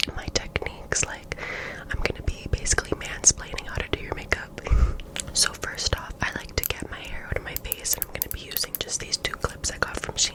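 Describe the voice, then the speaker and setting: A woman whispers at a fairly quick pace in a relaxed tone, her loudness swinging widely. Noticeable background noise runs beneath her. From Canada. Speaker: ASMR creator. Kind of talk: ASMR makeup tutorial talking to camera. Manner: soft, relaxed.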